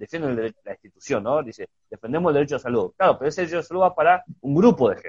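Very fast and with hardly any pauses, a man speaks at a fairly high pitch, using lively intonation and big swings in loudness. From Argentina (Chubut, Patagonia). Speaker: podcast host. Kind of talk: casual conversation about health and philosophy. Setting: video call / Instagram live. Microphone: connection glitch.

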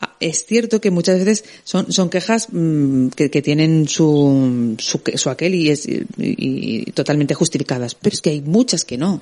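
A woman speaks fairly slowly at a very deep, low pitch, her tone dark and mellow and her intonation lively. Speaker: radio host. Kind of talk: late-night radio talk show with callers. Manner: hesitant, repeats words.

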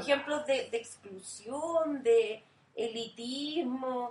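A woman speaks with a Chilean accent. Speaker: podcast co-host. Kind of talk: casual chat.

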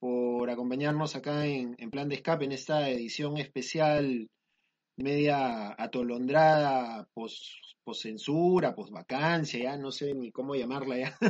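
Talking at a fairly slow pace, a man uses a plain, everyday voice, his pitch fairly high with ordinary pitch variation. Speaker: podcast host. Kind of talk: casual chat.

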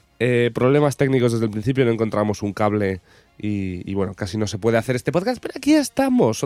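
The man's pitch sits in the medium range and varies in an ordinary way. He talks at a very fast pace. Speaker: podcast co-host. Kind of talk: casual chat.

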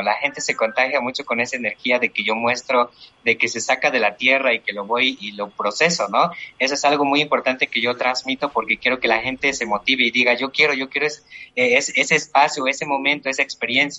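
A man's ordinary speaking voice, medium in pitch, at a fairly quick pace. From Bolivia, Chuquisaca valley, rural. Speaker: cooking content creator. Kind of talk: casual panel discussion.

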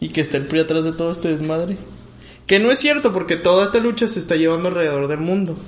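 A man speaks at a very fast pace in a high voice. His pitch varies in an ordinary way. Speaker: podcast co-host. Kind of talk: casual chat.

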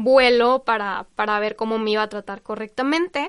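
A woman speaks with a fairly high pitch and a bright, sharp tone, her pitch varying in an ordinary way against a quiet background. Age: 20s. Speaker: communications worker in education, Lyme disease patient. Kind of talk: interview.

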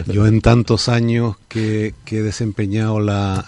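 This man's voice is fairly low in pitch with a dark, mellow tone. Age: 50s. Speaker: politician. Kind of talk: radio interview. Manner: halting.

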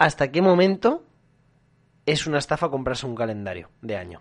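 A man is speaking. His pitch swings very widely. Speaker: podcast co-host. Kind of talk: casual chat.

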